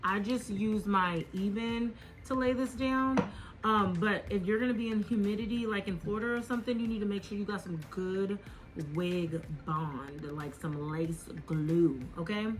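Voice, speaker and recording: Music plays in the background as a woman talks at a moderate pace and medium pitch. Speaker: beauty YouTuber. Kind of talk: product review. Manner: casual, filler-heavy.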